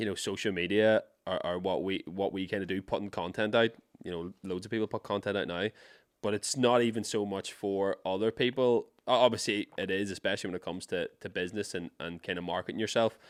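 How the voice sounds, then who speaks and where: With an Irish accent, a man speaks fairly quickly at a fairly low pitch and with fairly even intonation. The sound is dry and close with no echo, in a very clean recording against a silent background. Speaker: podcast host. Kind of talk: casual chat. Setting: studio.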